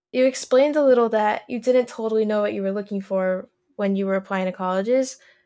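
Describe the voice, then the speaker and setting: On a very clean recording with a silent background, a woman uses an ordinary speaking voice, fairly high in pitch, with ordinary pitch variation. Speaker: podcast host and college student. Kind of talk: casual interview chat.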